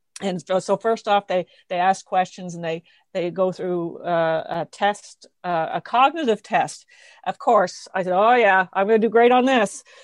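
A woman speaks fairly slowly at a medium pitch, in an unremarkable speaking voice. The sound is dry and close, with no echo. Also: ordinary pitch variation, quiet background. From New Brunswick, Canada. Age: 50s. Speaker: forest school owner and early childhood educator. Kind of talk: casual interview conversation.

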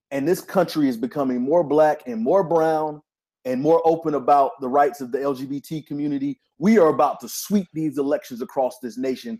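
A man with a fairly high pitch and a dark, mellow tone speaks at a fairly quick pace with ordinary pitch variation and big swings in loudness. The recording is very clean, with a silent background. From North Carolina. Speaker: graduate student in education policy. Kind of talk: casual political round table.

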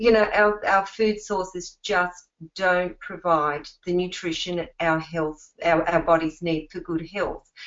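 A woman with an Australian accent speaks at a very slow pace in a fairly low pitch, her intonation fairly even. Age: 50s. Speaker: network marketing distributor. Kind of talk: testimonial presentation.

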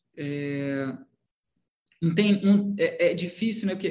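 A man's voice at a fairly slow pace. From Brazil, Petrópolis, Rio de Janeiro state. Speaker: film director. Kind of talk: interview.

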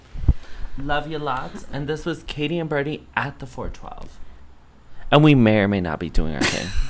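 An American-accented man with a fairly high pitch, an animated tone, lively intonation and big swings in loudness, over noticeable background noise. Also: moderate pace. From Pennsylvania, around Philadelphia. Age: 20s. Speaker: podcast co-host, hairdresser. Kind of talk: casual chat. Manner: animated, laughing often.

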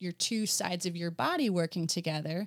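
A woman with an unremarkable speaking voice talks at a moderate pace and a fairly low pitch. The recording is very clean, with a silent background and a dry, close sound with no echo. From New Jersey, US. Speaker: potter and former occupational therapist. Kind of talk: interview conversation.

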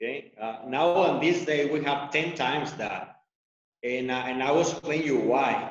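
A man's fairly high pitch with ordinary pitch variation. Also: fairly slow pace. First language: Spanish. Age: 40s. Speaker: outfitter and ranch owner. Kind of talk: casual interview. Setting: video call.

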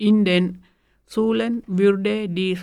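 Here a woman talks at a very slow pace. Her medium-pitched voice keeps a fairly even intonation. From Sri Lanka. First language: Tamil (speaking German). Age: 40s. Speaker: bakery worker, language learner. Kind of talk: reading aloud.

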